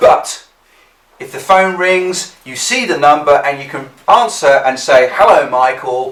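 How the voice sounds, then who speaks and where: A man's fairly high voice in an English accent, with lively intonation, big swings in loudness, a fairly slow pace and audible room echo. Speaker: business skills instructor. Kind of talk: tutorial.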